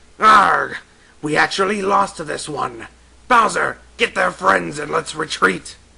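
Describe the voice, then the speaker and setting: With a fairly high pitch, a man does a put-on character voice at a fairly slow pace. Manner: dramatic, commanding.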